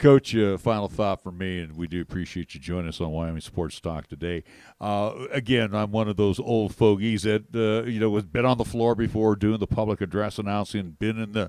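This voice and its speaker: An unremarkable speaking voice belongs to a man with fairly low pitch and ordinary pitch variation, moving at a fairly quick pace with hardly any pauses. The recording is very clean, the background silent. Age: 60s. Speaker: sports radio host. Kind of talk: radio interview.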